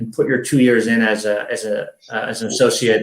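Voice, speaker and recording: This is a man speaking with an American accent. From US Midwest, Chicago. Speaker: army veteran. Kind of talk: podcast interview. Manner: fast.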